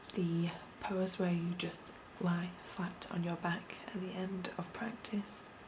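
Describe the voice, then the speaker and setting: Soft-spoken and at a medium pitch, a woman speaks at a very slow pace with monotone, flat intonation. Noticeable background noise runs beneath her. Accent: British. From United Kingdom. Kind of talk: ASMR show-and-tell.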